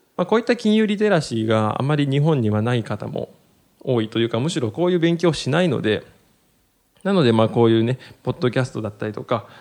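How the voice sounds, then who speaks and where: With a normal speaking voice, a man at medium pitch talks at a fairly quick pace with lively intonation. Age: 30s. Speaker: podcast host on personal finance. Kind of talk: solo educational talk. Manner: many filler words.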